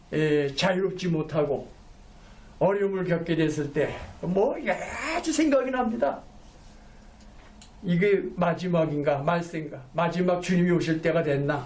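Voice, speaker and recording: A man with a high pitch speaks at a fairly slow pace and very even loudness, pausing long and often in a room with audible echo. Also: ordinary pitch variation. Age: 70s. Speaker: pastor. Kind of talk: sermon. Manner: halting, with self-corrections.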